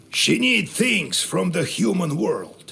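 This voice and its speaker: A man performs in a put-on character voice. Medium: machinima. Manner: storytelling, world-weary.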